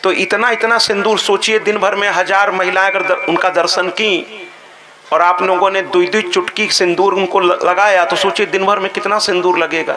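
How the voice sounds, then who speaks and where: A man with a high pitch speaks in a raised, projected voice with monotone, flat intonation. His loudness stays very even over noticeable background noise. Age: 60s. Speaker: religious storyteller. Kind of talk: religious discourse. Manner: emphatic, repetitive.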